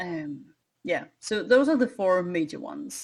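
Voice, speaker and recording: A woman with a Danish accent, fairly low in pitch, at a moderate pace with lively intonation, on a very clean recording with a silent background. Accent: foreign, Danish. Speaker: wargamer and former teacher. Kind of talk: casual chat. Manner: halting.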